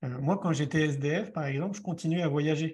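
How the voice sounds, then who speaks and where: Over a quiet background, a man speaks in an ordinary speaking voice, fairly high in pitch, at a moderate pace. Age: 40s. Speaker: author and film director, speaker. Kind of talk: interview. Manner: conversational, with fillers.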